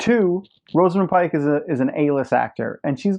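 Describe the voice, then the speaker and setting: Animated, fairly quick delivery in a New York accent. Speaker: show host. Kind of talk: casual monologue.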